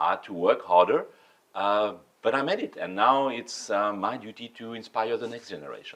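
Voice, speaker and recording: In a French accent, a man speaks at a moderate pace with big swings in loudness. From France. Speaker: sommelier. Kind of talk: interview. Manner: halting.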